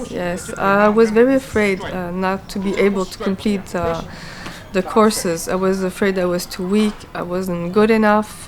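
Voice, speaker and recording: Fairly slow, monotone speech from a woman at medium pitch with a Quebec accent, against noticeable background noise. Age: 40s. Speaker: martial arts student. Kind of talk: interview. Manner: hesitant, with many fillers.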